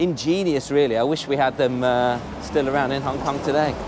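A man talks at a fairly quick pace with a medium pitch and ordinary pitch variation. His tone is slightly mellow, and there is faint background noise.

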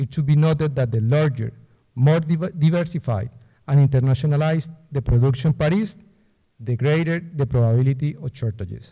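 A man's somewhat breathy, dark, mellow voice with a Spanish accent, fairly high in pitch, at a fairly quick pace with ordinary pitch variation against a quiet background. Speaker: political analyst. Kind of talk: lecture. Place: hall. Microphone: podium.

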